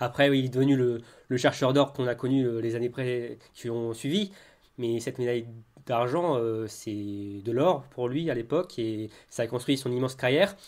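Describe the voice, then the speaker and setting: A man speaks in an ordinary speaking voice. His pitch is medium and varies in an ordinary way. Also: moderate pace. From Brittany. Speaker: podcast co-host. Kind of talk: casual chat.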